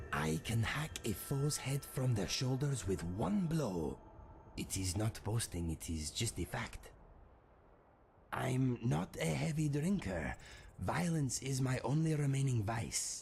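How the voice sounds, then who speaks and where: A man's put-on character voice at medium pitch. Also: fairly slow pace. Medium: game stream. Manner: dry, deadpan, matter-of-fact.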